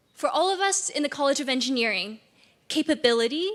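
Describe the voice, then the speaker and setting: Talking at a fairly quick pace with a Chinese accent, a woman uses a high pitch and very wide pitch swings. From China, Beijing. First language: Mandarin Chinese. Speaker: graduating student speaker. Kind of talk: commencement speech.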